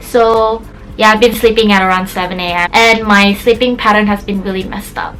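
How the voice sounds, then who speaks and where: A woman's medium-pitched voice in an Indonesian accent, fairly quick, with music in the background. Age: 20s. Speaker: YouTuber. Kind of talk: casual vlog talk to camera. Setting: her bedroom. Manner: animated.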